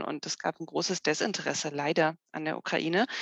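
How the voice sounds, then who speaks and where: At a moderate pace, a normal speaking voice shows ordinary pitch variation in a dry, close sound with no echo. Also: woman. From Germany, Harz region (Saxony-Anhalt). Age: 40s. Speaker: political sociologist. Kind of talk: interview. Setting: remote call.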